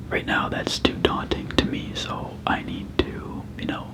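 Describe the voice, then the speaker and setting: Someone whispers in a relaxed tone at a fairly slow pace, with noticeable background noise behind. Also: man. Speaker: ASMR creator. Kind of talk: casual talk to camera. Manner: soft-spoken, relaxed.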